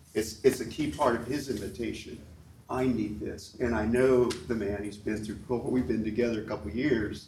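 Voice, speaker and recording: A man's somewhat breathy, medium-pitched voice with ordinary pitch variation, at a moderate pace. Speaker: ministry leader. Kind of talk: conference workshop talk. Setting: conference room with audience.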